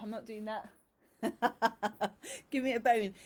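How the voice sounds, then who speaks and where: In a put-on character voice, a female-sounding speaker whines at a moderate pace in a fairly high pitch. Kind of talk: playful. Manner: sad, whiny.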